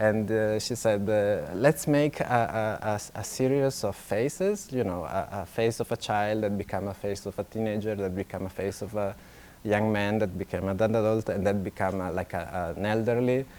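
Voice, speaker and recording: In an Italian accent, a man with a fairly low pitch keeps a moderate pace and fairly even intonation, with hardly any pauses. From Italy. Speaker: illustrator. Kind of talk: festival talk. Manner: halting, many fillers.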